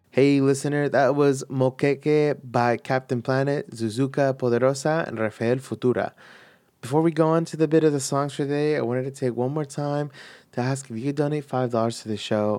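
On a very clean recording with a silent background, a man talks at a moderate pace in a dark, mellow tone. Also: fairly high pitch for a man. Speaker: radio DJ. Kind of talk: radio DJ patter. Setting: radio studio. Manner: friendly, casual.

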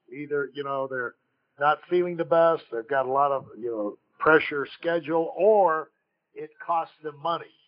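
Pitch shifts in a normal way. Delivery moves at a middle speed. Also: man. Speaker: podcast host. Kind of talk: interview.

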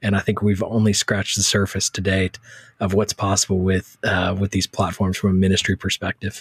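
In an American accent, a man talks at a fairly low pitch and sounds somewhat breathy. His intonation is monotone and flat. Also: fairly quick pace, dry, close sound with no echo. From Texas. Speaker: church social media author. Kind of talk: interview.

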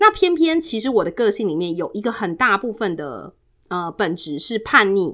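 Loud and animated, a woman with a bright, sharp tone makes very wide pitch swings. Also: very clean recording, silent background. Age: 40s. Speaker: guest sharing life story. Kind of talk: personal testimony. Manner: animated, frequent loud laughter.

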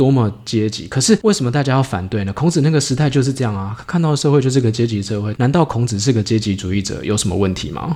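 A man speaks at a very fast pace with lively intonation. His tone is dark and mellow, and somewhat breathy. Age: 40s. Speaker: startup founder. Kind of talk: interview. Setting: drink shop.

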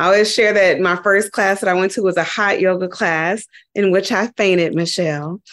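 Using a normal speaking voice with an American accent, a woman of medium pitch talks at a moderate pace with very even loudness and fairly even intonation. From Dayton, Ohio, US Midwest. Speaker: yoga teacher. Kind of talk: interview conversation.

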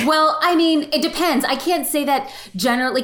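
The speaker is a woman with a fairly quick delivery. Noticeable noise can be heard behind her. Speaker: photographer and social media educator. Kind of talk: casual interview. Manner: fast talker.

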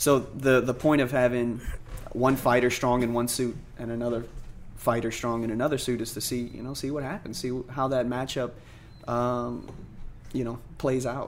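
The speaker leaves long, frequent pauses and keeps a flat, monotone intonation. Audible echo from the room is present. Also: man, medium pitch for a man, moderate pace. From New Orleans. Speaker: MMA fighter. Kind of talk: interview.

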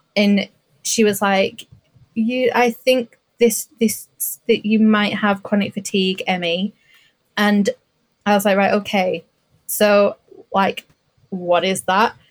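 At medium pitch, a woman speaks very slowly and in a monotone, flat way with long, frequent pauses, the sound dry and close with no echo. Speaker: podcast guest. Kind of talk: casual chat.

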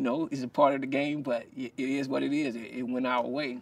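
A man speaks with a Southern US accent. His intonation stays fairly even. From South Carolina. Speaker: former football player and minister. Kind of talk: casual interview. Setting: in person at his ministry. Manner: halting, many repetitions.

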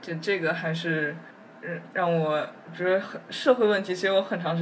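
A woman's fairly low voice at a moderate pace, fairly even in intonation, with audible room echo and noticeable background noise. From Beijing, China. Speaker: neuroscience PhD student. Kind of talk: casual interview conversation.

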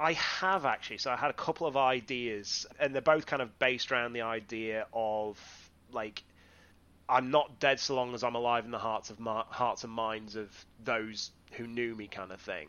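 Speaking with a North Yorkshire accent at a moderate pace, a man keeps a medium pitch with ordinary pitch variation while his loudness swings widely. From northeast England, Whitby. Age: 30s. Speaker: wrestling referee and podcaster. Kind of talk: casual interview chat.

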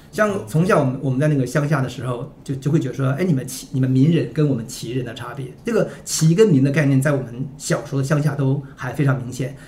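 Amid noticeable background noise, a man speaks very fast in a fairly high pitch with ordinary pitch variation. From Northeast China (Liaoning). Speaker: publisher editor-in-chief. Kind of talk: casual podcast conversation. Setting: studio, in-person.

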